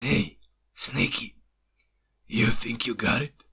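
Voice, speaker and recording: A man puts on a character voice, raspy and gravelly at a medium pitch. He is soft-spoken and keeps a fairly slow pace. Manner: quiet murmur.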